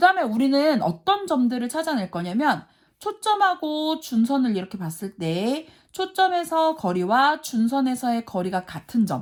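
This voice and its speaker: Recorded very cleanly over a silent background, a woman speaks fairly slowly in a high voice with very wide pitch swings and big swings in loudness. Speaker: math teacher. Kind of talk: lecture.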